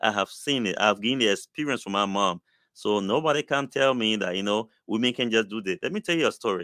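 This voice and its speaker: A man talks at a very fast pace in a medium pitch with ordinary pitch variation and a bright, sharp tone. The recording is very clean with a silent background, dry and close with no echo. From Liberia. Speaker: community initiative host. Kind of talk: motivational talk. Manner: animated.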